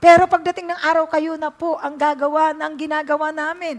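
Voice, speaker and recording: A woman speaks at a high pitch. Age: 60s. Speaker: pastor. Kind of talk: sermon. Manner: halting.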